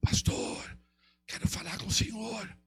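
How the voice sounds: In a put-on character voice, the speaker sounds raspy and hoarse, moving at a fairly slow pace. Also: fairly high pitch.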